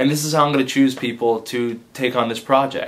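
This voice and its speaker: A man speaks in a normal speaking voice at medium pitch and a moderate pace. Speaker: advice vlogger and comedy video maker. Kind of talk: casual direct-to-camera vlog.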